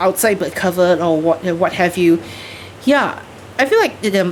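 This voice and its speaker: A woman speaks with a fairly low pitch. Noticeable background noise runs underneath. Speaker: video game streamer. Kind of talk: live gameplay commentary. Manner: halting, many fillers.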